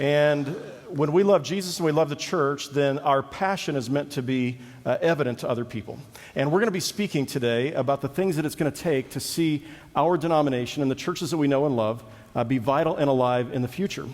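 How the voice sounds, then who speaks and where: A man's fairly high voice with ordinary pitch variation at a fairly quick pace. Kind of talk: conference talk. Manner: fast.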